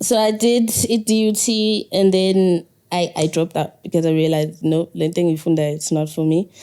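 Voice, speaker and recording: A woman's fairly low-pitched voice with very even loudness and ordinary pitch variation. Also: moderate pace. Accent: Zulu. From South Africa, KwaZulu-Natal (Ladysmith). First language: Zulu. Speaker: poet and musician. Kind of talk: interview. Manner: calm.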